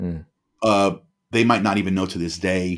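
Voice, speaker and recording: The man's voice is fairly low. He talks at a fairly quick pace with fairly even intonation. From US Northeast, New Jersey (Bergen County). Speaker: former police officer living with bipolar disorder. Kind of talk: casual chat. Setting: remote call, home studio mic.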